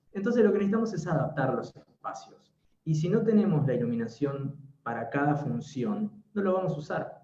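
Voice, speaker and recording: A man talks at a fairly quick pace in a fairly high pitch. His voice swings very widely in pitch. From Argentina. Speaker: interior designer. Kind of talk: webinar talk.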